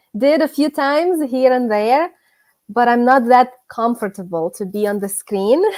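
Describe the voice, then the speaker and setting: A woman with a Ukrainian accent speaks at a high pitch. Her intonation is lively. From Ukraine. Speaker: gardening youtuber. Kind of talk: casual chat. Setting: live stream. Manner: halting.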